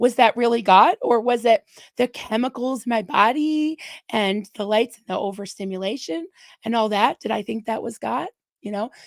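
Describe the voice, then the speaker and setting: A woman with a fairly high pitch speaks at a moderate pace with ordinary pitch variation and big swings in loudness, in a dry, close sound with no echo on a very clean recording with a silent background. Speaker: ex-Scientologist livestream host. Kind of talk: casual chat. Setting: livestream. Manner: soft-spoken.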